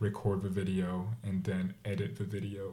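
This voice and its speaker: A man with a French accent speaks at a moderate pace, his tone dark, mellow and somewhat breathy. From France. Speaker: food blogger. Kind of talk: casual chat.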